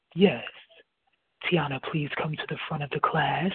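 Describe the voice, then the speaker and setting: This is a put-on character voice. It sits at a middle pitch. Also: moderate pace. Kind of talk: authoritative.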